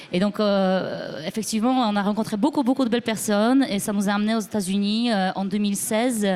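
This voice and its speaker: Talking at a fairly quick pace with hardly any pauses, a woman speaks at medium pitch. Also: ordinary pitch variation. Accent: Polish. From Poland. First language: Polish (speaking French). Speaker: musician. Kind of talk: interview. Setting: live broadcast from record fair. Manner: halting.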